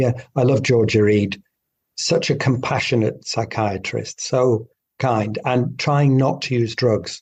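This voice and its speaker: A man speaks with a British accent at a fairly slow pace. His voice is somewhat breathy. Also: medium pitch for a man. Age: 60s. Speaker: doctor. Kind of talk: interview. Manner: animated.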